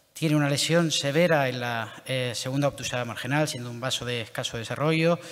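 Over light background noise, a man talks at a fairly quick pace with fairly even intonation and hardly any pauses. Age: young. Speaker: interventional cardiologist. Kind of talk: clinical case presentation. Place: hall.

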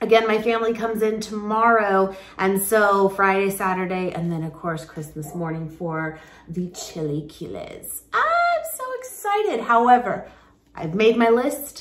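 Audible room echo surrounds a woman speaking at a moderate pace with big swings in loudness. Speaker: vlogger. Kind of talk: casual vlog chat. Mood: relaxed, cheerful. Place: kitchen. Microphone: phone near.

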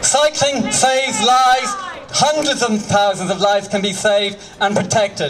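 Over light background noise, a man speaks loud at a moderate pace with ordinary pitch variation. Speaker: cycling campaigner addressing a rally. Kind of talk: rousing outdoor protest speech urging mass mobilisation. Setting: outdoors at a street protest with crowd. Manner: impassioned, rallying, repeating slogans like mobilise, radicalise; leads crowd in loud call-and-response cheers. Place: street. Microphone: handheld.

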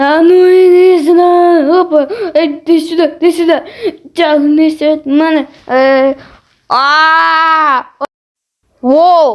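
A put-on character voice moves at a fairly slow pace, broken by long, frequent pauses. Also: man, extremely high pitch for a man. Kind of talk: comic amateur fan dub. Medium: fan dub. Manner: loud, exclamatory, comic overacting.

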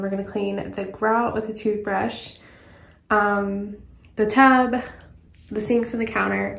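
Her delivery is monotone and flat at a fairly slow pace, as the woman's voice carries audible room echo. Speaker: home cleaning vlogger. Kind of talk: casual vlog chat. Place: bathroom. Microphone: phone near.

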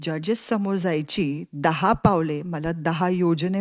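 A woman speaks with a fairly low pitch and ordinary pitch variation. The sound is dry and close with no echo, over a quiet background. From Pune, Maharashtra. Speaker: storyteller. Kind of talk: storytelling.

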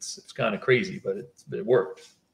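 The voice belongs to a man and is somewhat breathy. He keeps a moderate pace. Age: 50s. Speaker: fish breeder; guest. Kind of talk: casual chat. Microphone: video call.

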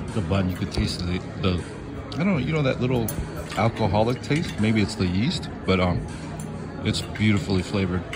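Clear background music beneath a man's fairly quick delivery. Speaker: food vlogger. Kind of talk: casual vlog chat. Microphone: phone near.

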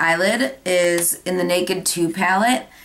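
A woman talks at a medium pitch while noticeable background noise is present. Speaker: beauty vlogger. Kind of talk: tutorial.

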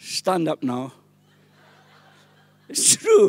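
A man talks with a Welsh accent. His voice sits high in pitch. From Wales, small village. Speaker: pastor. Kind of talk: sermon. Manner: animated. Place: church. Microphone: handheld.

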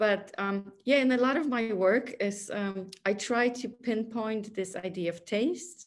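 Light background noise sits behind a woman with a Polish accent whose pitch varies in an ordinary way. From Poland. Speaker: artist; guest. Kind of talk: interview conversation. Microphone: video call.

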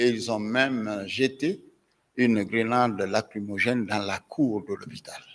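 Very slowly, a man talks. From Guinea. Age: 70s. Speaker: medical doctor and professor testifying as witness. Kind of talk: court testimony. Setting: courtroom. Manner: formal. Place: hall. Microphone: podium.

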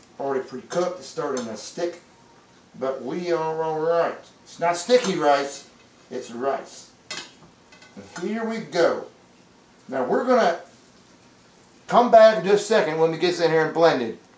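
A man with a high pitch talks at a fairly slow pace, with long, frequent pauses, big swings in loudness and audible room echo. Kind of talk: cooking tutorial. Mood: jokey, relaxed. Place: kitchen.

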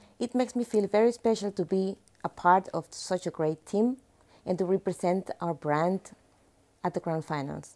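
A woman with a Spanish accent speaks at a moderate pace and medium pitch, in a dark, mellow tone with ordinary pitch variation. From Panama. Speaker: motorsport event organizer. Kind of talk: promotional video presentation. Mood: warm, friendly. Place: studio. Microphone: lapel.

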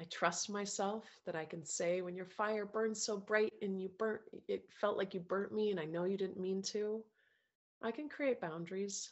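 The speaker uses a gentle tone and fairly even intonation at a moderate pace against a quiet background. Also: woman, medium pitch for a woman. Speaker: self-love coach leading a group course. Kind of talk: guided meditation with breath counting and spoken self-affirmations. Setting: video call with group participants. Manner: gentle, tender and nurturing, softly coaxing smiles and gratitude. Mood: calm, emotional, inward. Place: home room. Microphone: earbuds.

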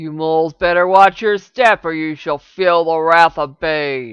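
The voice is pitched in the middle range. It is a put-on character voice. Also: fairly slow pace. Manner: threatening.

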